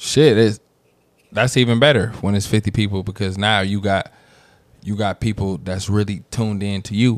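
A man at a fairly low pitch keeps fairly even intonation and a moderate pace. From San Francisco, Fillmore. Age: 30s. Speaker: rapper. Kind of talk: casual chat.

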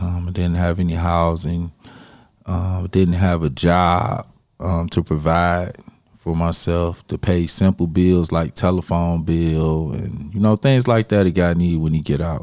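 Fairly slow speech from a man, his pitch very deep and low. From Detroit, east side. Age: 30s. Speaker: exonerated former prisoner, nonprofit founder. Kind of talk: interview testimony.

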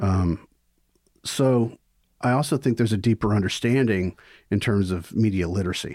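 On a very clean recording with a silent background, a man with a Mississippi accent speaks at a moderate pace in a fairly low pitch with ordinary pitch variation, very even loudness, and long, frequent pauses. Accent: Southern US (Mississippi). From US South, Mississippi (Vicksburg). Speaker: film professor. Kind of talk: casual interview.

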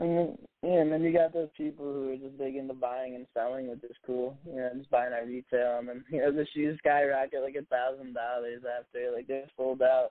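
A man with an American accent speaks at a fairly quick pace with hardly any pauses, his medium pitch flat and monotone. His loudness swings widely. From northern New Jersey. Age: 20s. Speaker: hip hop artist. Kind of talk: casual interview chat.

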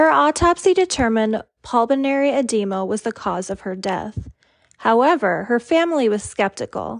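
A woman with a serious tone speaks at a moderate pace in a fairly high voice with very wide pitch swings. The sound is dry and close with no echo, over a quiet background. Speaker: true crime podcaster. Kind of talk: scripted true-crime narration. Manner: even, serious, measured storytelling.

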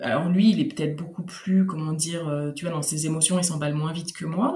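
A woman's fairly low voice at a very fast pace, with lively intonation over noticeable background noise. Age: 30s. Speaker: podcaster and returning expat. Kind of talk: testimony.

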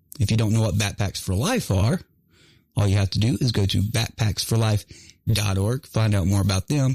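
Somewhat breathy, with an American accent, the voice moves at a moderate pace with ordinary pitch variation and very even loudness, in a dry, close sound with no echo on a very clean recording with a silent background. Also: man, fairly low pitch for a man. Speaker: veteran radio host. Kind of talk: casual chat. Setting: studio.

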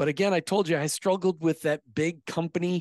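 A man with an American accent, fairly even intonation, and a dry, close sound with no echo against a quiet background. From US. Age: 50s. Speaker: podcast host and former insurance agency owner. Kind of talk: interview.

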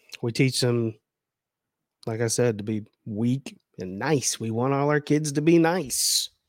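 Speech at a fairly slow pace is broken by long, frequent pauses, with ordinary pitch variation. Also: man, medium pitch for a man. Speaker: podcast host. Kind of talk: heated dad rant, fiery lecture-style monologue. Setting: studio podcast. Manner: forceful, scolding, emphatic, punchy; passionate, confrontational.

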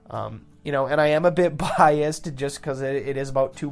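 The speaker has an Upper Midwest accent. Delivery is fairly quick, with fairly even intonation. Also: man. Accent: Upper Midwest American. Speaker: podcast host. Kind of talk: casual chat. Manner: uses many fillers.

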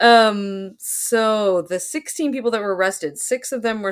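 An unremarkable speaking voice from a woman with an American accent, medium in pitch, with lively intonation. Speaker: podcast host. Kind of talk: casual chat, true crime podcast.

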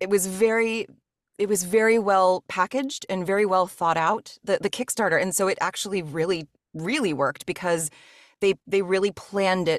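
A woman at medium pitch with ordinary pitch variation and a moderate pace, in a dry, close sound with no echo and a quiet background. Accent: Mid-Atlantic American. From US, rural Maryland. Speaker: voice actor and audiobook narrator. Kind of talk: casual interview chat.

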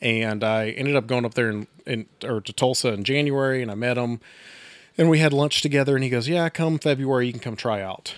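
Here a man with an American accent talks at a fairly quick pace in a medium pitch. He has an ordinary speaking voice with ordinary pitch variation. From Texas. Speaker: firefighter and brewery worker. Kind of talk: casual chat. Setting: studio.

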